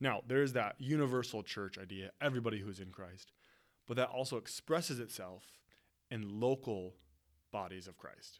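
A man with an American accent uses a normal speaking voice at a medium pitch and a moderate pace, with ordinary pitch variation. The recording is very clean and the background silent. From West Michigan, US. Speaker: pastor. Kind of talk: podcast teaching monologue. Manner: casual, conversational.

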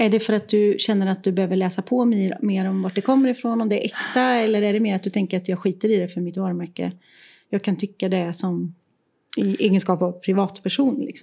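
Somewhat breathy and dark and mellow in tone, a woman speaks at a very fast pace. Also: medium pitch for a woman, ordinary pitch variation, very clean recording, silent background. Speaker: podcast co-host, creative professional. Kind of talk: casual chat. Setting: her art studio, sharing one mic.

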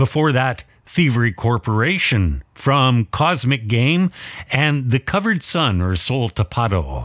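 A man with a Canadian accent has a normal speaking voice at medium pitch and a fairly slow pace. The recording is very clean with a silent background, dry and close with no echo. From British Columbia, Canada. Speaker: radio host. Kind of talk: radio show presenting. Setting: studio.

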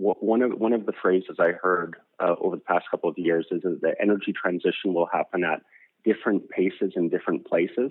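This voice has a Canadian accent. The pace is fairly quick. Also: man. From Canada, Alberta. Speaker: energy company executive. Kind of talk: interview. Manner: fast.

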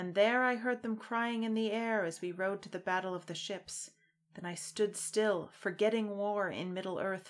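A natural reading voice is what this clip offers.

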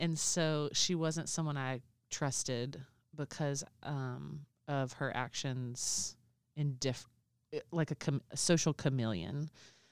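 Speaking with a Southern US accent, a woman uses a very deep, low pitch and ordinary pitch variation at a very slow pace. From Alabama, US. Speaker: podcast co-host. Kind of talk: casual chat.

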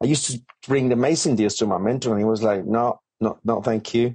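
The speaker has a Colombian accent and ordinary pitch variation. The pace is fairly quick. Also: man. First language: Spanish. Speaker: property developer and author. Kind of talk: podcast interview.

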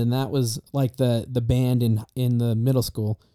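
A man with a Mountain West accent has a dark, mellow tone and monotone, flat intonation. The sound is dry and close with no echo. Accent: US Mountain West, general American. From Star Valley, Wyoming. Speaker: college student, guest. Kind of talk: casual chat.

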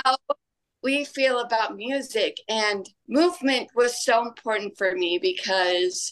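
Using a normal speaking voice, a woman with an American accent talks at a fairly high pitch with lively intonation. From Utah. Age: 30s. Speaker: dance teacher. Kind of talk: podcast interview.

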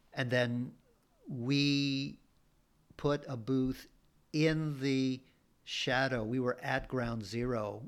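Long, frequent pauses break up a man's medium-pitched, fairly even speech while music plays in the background. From Bolivia. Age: 60s. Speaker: writer and performer. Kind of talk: casual interview.

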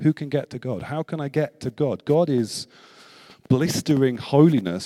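The sound is dry and close, with no echo. A man's tone comes across as dark and mellow. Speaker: visiting preacher. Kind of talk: sermon. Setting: church with congregation. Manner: talkative.

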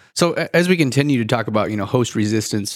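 Very fast speech with a Midwestern US accent, in a very clean recording with a silent background. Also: man. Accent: US Midwest. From Iowa. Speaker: podcast co-host, agronomist. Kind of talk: interview.

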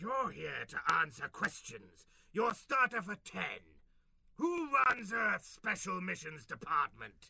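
A man puts on a character voice with a high pitch. He speaks at a fairly slow pace. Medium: comedy sketch. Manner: grandiose, commanding, theatrical.

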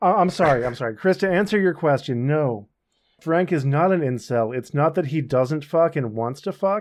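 The man talks at a moderate pace with lively intonation. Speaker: podcast host. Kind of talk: casual banter.

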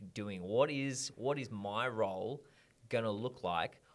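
Speaking slowly-ish in an Australian accent, a man uses a fairly low pitch with ordinary pitch variation. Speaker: podcast host. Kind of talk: casual interview chat.

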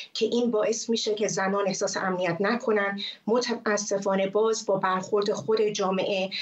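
A woman's medium-pitched voice at a moderate pace, monotone and flat, with very even loudness and noticeable background noise. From Iran. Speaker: former TV presenter, activist. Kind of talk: interview.

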